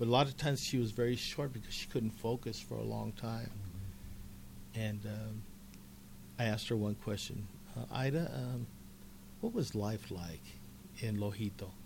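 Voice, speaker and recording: A somewhat breathy man with an American accent, fairly low in pitch with ordinary pitch variation, at a moderate pace with long, frequent pauses. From Colorado, Commerce City. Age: 60s. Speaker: retired teacher and author. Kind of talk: casual interview chat. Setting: radio studio.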